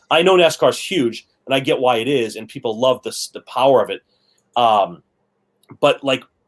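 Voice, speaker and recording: A man's medium-pitched voice with an American accent, at a moderate pace with ordinary pitch variation, big swings in loudness, and a dry, close sound with no echo. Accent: Boston accent, stronger when relaxed. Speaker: podcast co-host. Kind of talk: casual chat.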